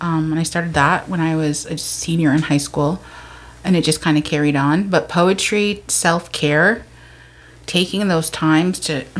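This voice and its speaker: Here is a woman with an unremarkable speaking voice and a fairly low pitch. She keeps a moderate pace and fairly even intonation. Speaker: guest sharing mental health story. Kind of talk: casual chat.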